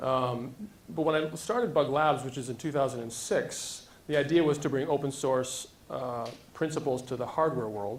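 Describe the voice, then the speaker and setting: There is audible room echo as a man with a fairly high pitch talks with ordinary pitch variation. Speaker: tech startup founder. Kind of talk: conference talk. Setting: stage with audience. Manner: fast.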